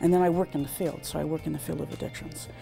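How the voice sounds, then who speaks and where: A woman speaks while faint music plays in the background. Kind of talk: interview answer. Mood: reflective, earnest. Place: home room. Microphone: lapel.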